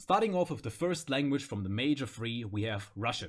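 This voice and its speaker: Music in the background accompanies a man who speaks at a fairly quick pace and medium pitch with lively intonation. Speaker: gaming content creator. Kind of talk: casual gaming commentary.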